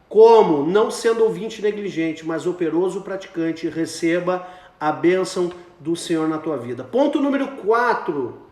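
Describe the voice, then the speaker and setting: With audible room echo and noticeable background noise, a man speaks at a fairly slow pace in a high pitch with lively intonation. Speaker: pastor. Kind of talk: sermon. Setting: Instagram live video stream.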